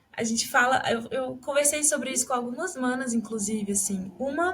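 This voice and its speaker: Noticeable background noise sits behind a woman speaking at a moderate pace. Her voice is high, with lively intonation. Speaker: podcast host. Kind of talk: casual interview chat.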